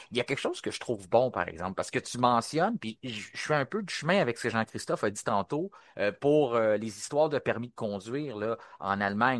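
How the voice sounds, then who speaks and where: In a Quebec accent, the speaker talks at a fairly quick pace with lively intonation, in a dry, close sound with no echo against a quiet background. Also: man. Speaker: podcast host. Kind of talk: casual panel discussion.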